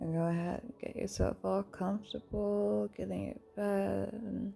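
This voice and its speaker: A woman talks at a fairly slow pace while music sounds in the background. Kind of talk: casual, chatty intro to camera.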